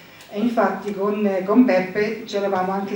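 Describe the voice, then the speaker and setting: A woman's monotone, flat delivery, with audible room echo and noticeable background noise. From northern England, near Scottish border. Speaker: wine translator. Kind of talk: commemorative speech. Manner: halting.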